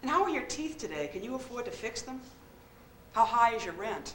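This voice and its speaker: A woman with a fairly high pitch talks at a fairly quick pace in an American accent, with audible room echo and noticeable background noise. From Boston, US. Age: 40s. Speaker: poet. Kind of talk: performance monologue. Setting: stage with audience.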